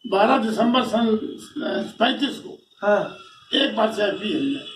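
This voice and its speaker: This man's voice is extremely high, and its pitch varies in an ordinary way. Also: big swings in loudness. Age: 80s+. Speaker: freedom fighter. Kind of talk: interview answer.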